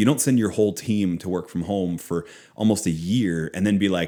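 Here a man with an American accent has a dark, mellow tone and talks at a moderate pace. The recording is very clean with a silent background. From Philadelphia and Boston area, US. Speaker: author and former business professor. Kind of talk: interview conversation.

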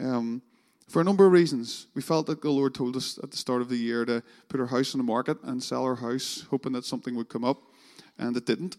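Speaking with a Northern Irish accent, a man talks at a fairly quick pace with ordinary pitch variation, the sound dry and close with no echo. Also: medium pitch for a man. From Northern Ireland. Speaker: pastor. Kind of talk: sermon. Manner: halting.

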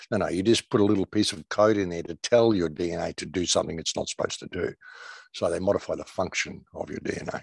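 A man with an Australian accent talks at a very fast pace in a fairly low voice, his intonation fairly even and his loudness swinging widely. The sound is dry and close, with no echo. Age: 60s. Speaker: alternative media commentator. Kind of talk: casual interview.

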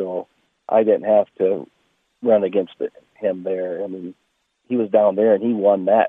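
A man's normal speaking voice with an American accent, fairly low pitch, fairly even intonation and a moderate pace. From Iowa, US Midwest. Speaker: racecar driver. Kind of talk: casual interview.

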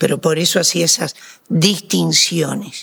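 A man with a Uruguayan accent at a fairly slow pace. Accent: Rioplatense Spanish (Uruguayan). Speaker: radio broadcaster and coach. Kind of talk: interview conversation.

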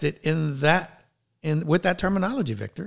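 The speaker here is a man. There is a somewhat breathy quality to how he sounds. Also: very clean recording, silent background. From New York City and Puerto Rico. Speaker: leadership coach and coach trainer. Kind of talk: interview.

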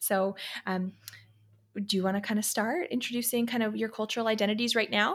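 With a US East Coast accent, a woman speaks at a fairly quick pace and fairly high pitch. Her loudness stays very even and her intonation fairly even, in a very clean recording with a silent background. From Pennsylvania, US. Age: 20s. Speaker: occupational therapist and podcast host. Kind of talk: casual chat.

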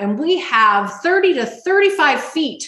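A woman speaks with an American accent, her pitch swinging very widely. Noticeable background noise is present. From Las Vegas, Nevada, US. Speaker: healthy eating coach. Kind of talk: podcast interview.

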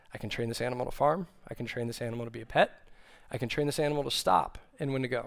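A man speaks very fast with an American accent. His pitch sits in the middle range and varies in an ordinary way. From Texas, Austin. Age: 30s. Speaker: young adult ministry staff, preacher. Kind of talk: sermon. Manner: casual with frequent fillers.

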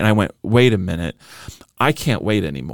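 A man with an unremarkable speaking voice, fairly low in pitch, talking at a fairly quick pace with lively intonation. The sound is dry and close with no echo, on a very clean recording with a silent background. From Southern California (Orange County). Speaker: pastor and author. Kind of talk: interview conversation.

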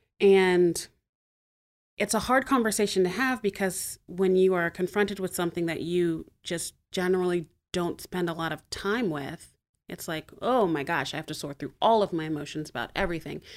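In a very clean recording with a silent background, a woman speaks with an American accent. Her medium pitch shows ordinary variation, and her pace is moderate. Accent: none noticeable. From Montgomery, Alabama, US South. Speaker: church member. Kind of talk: casual chat.

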